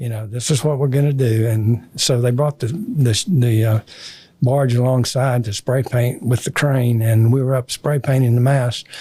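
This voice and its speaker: A man with a dark, mellow, somewhat breathy voice speaks at medium pitch and a moderate pace with fairly even intonation. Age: 80s+. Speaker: retired business executive and Navy veteran. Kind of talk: interview storytelling. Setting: podcast studio. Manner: halting, many fillers.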